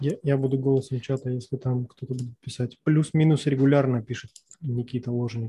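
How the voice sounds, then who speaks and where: In a flat monotone, a man with a dark, mellow, somewhat breathy tone speaks fairly quickly at a medium pitch. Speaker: moderator. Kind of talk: moderating q&a. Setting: video call.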